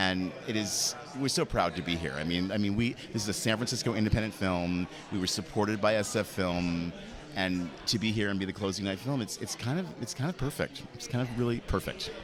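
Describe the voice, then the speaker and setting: Fairly quick speech from a man in a normal speaking voice, fairly low in pitch with ordinary variation. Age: 50s. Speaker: film producer. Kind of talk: red carpet interview.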